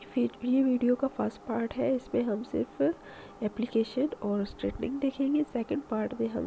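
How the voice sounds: Speaking at a moderate pace, a woman has a dark, mellow tone with vocal fry.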